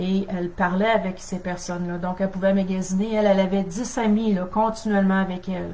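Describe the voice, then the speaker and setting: In a room with audible echo, a woman at medium pitch talks at a fairly quick pace in a monotone, flat intonation with hardly any pauses. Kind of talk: teaching on a live stream. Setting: Facebook live stream.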